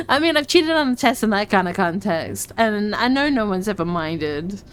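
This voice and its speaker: A woman's voice rises and falls in very wide pitch swings. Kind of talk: casual talk while playing a game. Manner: stutters, slurs words together.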